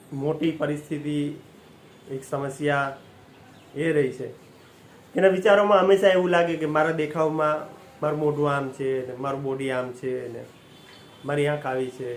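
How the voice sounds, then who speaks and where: In a room with audible echo, a man with fairly high pitch keeps his intonation fairly even while his loudness swings widely. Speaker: motivational speaker. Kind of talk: motivational talk.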